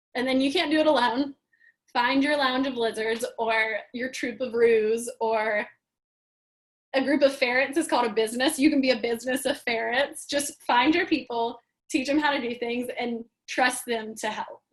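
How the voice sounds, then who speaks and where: Here a woman speaks at a high pitch. Her intonation stays fairly even. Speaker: customer experience training lead. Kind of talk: webinar presentation. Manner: fast.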